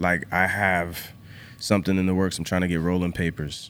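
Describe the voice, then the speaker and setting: Very deep and low, a man's voice carries an American accent. The recording is very clean, with a silent background. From US Northeast and Virginia (New Hampshire, then Virginia). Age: 20s. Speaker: clothing company founder. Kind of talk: casual chat.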